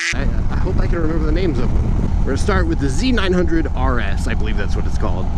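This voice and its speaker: A man with an American accent talks at a very fast pace with very even loudness. Noticeable background noise and audible room echo fill the recording. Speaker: motorcycle vlogger. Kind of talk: casual motovlog monologue. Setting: outdoors riding a motorcycle. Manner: off-the-cuff, hesitant.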